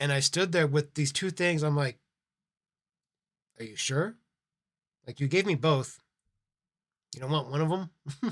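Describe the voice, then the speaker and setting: A man talks at a fairly slow pace in a somewhat breathy, fairly high voice with ordinary pitch variation. Long, frequent pauses break up his speech. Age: middle-aged. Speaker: live streamer. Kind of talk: casual storytelling. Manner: animated.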